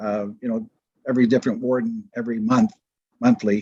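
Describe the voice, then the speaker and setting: In a plain, everyday voice, a man speaks with a Canadian accent at a fairly quick pace. His pitch is medium and his intonation fairly even. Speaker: county councillor. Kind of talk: council meeting debate. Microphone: too quiet, hard to hear.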